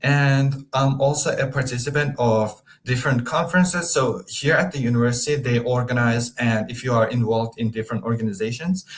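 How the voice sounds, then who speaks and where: A man with a medium pitch and a somewhat breathy voice speaks with hardly any pauses and ordinary pitch variation. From Turkmenistan. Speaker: international student. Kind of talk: webinar presentation. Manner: hesitant, with fillers.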